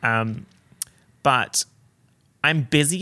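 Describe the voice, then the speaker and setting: A man speaks with an animated, bright, sharp tone and lively intonation. The recording is very clean, with a silent background. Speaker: podcast host and YouTuber. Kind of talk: casual solo podcast chat. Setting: home recording with portable recorder. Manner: animated, chatty, jokey.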